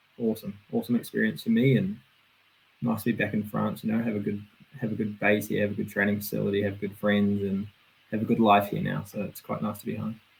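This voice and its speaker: Talking at a very fast pace, a man with a New Zealand accent sounds somewhat breathy and flat, in a monotone. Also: fairly low pitch for a man. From New Zealand, Auckland. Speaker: BMX racer. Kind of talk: casual interview.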